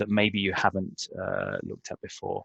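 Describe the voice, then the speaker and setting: A man with a British accent and a fairly low pitch, in a dry, close sound with no echo against a quiet background. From Britain. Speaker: trainer. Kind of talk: webinar presentation. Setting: online webinar. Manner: halting.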